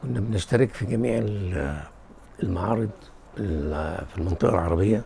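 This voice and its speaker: Against noticeable background noise, a man speaks at a moderate pace with a fairly low pitch. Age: 70s. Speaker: publisher, retired army engineer. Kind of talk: interview testimony. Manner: halting with repeated false starts.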